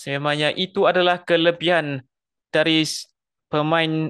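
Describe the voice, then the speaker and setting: This man's voice sits fairly high in pitch. He talks at a fairly slow pace. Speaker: football commentator. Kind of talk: live sports commentary. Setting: stadium commentary broadcast. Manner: builds excitement on chances and goals.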